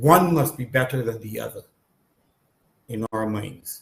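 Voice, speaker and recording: This man speaks fairly slowly in a somewhat breathy voice, his intonation fairly even. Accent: Barbadian. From Barbados. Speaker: panel guest. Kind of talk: public consultation discussion. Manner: halting, many fillers.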